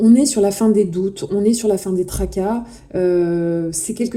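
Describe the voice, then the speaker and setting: A woman at medium pitch, with ordinary pitch variation and a fairly slow pace. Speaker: tarot reader. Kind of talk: tarot reading. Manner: halting.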